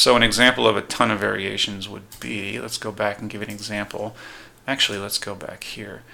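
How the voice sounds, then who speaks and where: A man speaks at a fairly quick pace. His tone is bright and sharp, with vocal fry. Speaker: online business course instructor. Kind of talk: screen-share tutorial. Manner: fast; casual, filler words.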